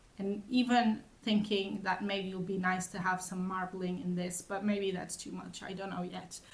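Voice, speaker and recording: The speaker is a woman with a somewhat breathy voice. She talks at a moderate pace. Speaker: knitting vlogger. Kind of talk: casual chat. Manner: halting.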